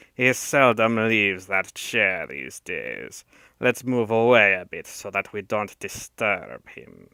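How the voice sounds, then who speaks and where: Using a put-on character voice with a non-native accent, a man speaks in a raspy, hissing way at a fairly slow pace and a fairly low pitch. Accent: put-on foreign. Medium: read story. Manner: oily, sinuous, scornful.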